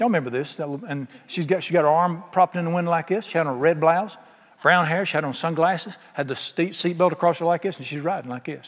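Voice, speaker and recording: With a Southern US accent and ordinary pitch variation, the speech races at a very fast pace over noticeable background noise. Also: man, high pitch for a man. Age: 60s. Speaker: pastor. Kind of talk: sermon. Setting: church. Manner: animated.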